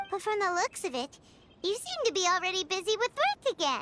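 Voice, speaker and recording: Over background music, a squeaky, bubbly put-on character voice chatters at a fairly quick pace with an extremely high pitch. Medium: video game. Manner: bubbly, chatty.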